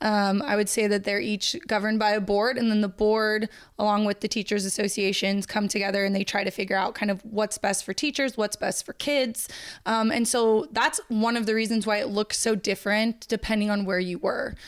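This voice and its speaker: A woman with a plain, everyday voice speaks fairly quickly at a fairly high pitch, her intonation fairly even, on a very clean recording with a silent background. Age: 30s. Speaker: high school history teacher. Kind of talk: casual chat.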